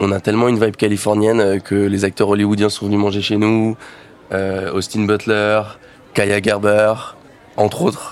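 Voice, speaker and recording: Fairly low, monotone, flat delivery from a man at a moderate pace with long, frequent pauses, plus noticeable background noise. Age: 20s. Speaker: restaurant manager. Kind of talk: promotional presentation.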